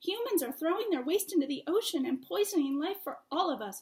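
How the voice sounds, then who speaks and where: A woman's squeaky, put-on character voice, extremely high-pitched, at a fairly quick pace. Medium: read story.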